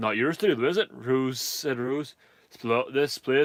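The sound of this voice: This is an unforced reading voice. It carries an unforced reading voice throughout.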